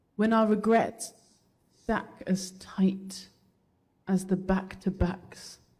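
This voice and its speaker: Speech comes at a very slow pace with long, frequent pauses. The speaker has a Birmingham accent. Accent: Birmingham English (Brummie). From England, Birmingham. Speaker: spoken word poet. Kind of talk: spoken word performance; casual chat with audience.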